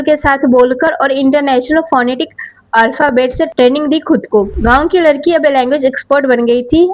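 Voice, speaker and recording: A woman speaks with a high pitch and fairly even intonation. Noticeable background noise runs underneath. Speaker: news presenter. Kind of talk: news story narration.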